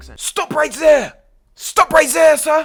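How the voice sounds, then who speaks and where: Someone puts on a character voice pitched high. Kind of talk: informal comedic demo. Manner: commanding, shouting.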